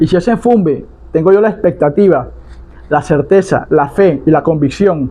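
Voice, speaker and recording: Ordinary pitch variation in a male speaker's high voice, delivered at a moderate tempo. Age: 60s. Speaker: palo mayombe priest (tata) and spiritual advisor. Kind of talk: religious teaching monologue.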